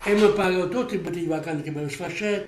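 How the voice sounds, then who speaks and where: A man with an Apulian accent talks at a very fast pace. Noticeable noise sits in the background. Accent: Apulian dialect-tinged Italian. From Polignano, Apulia, southern Italy. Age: 80s+. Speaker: former emigrant carpenter. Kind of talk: interview answer.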